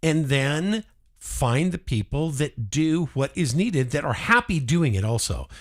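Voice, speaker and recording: A man's fairly high voice, fairly slow, with very wide pitch swings, on a very clean recording with a silent background. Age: 60s. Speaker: farmer. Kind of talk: casual chat.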